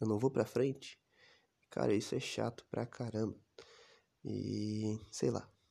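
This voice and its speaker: A man's fairly low voice with a dark, mellow tone, very slow, with long and frequent pauses. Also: ordinary pitch variation. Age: 20s. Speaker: podcaster. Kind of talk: personal monologue. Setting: recording alone.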